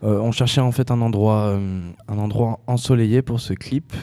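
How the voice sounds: At a moderate pace, a man speaks with fairly even intonation, a fairly low pitch and a dark, mellow tone.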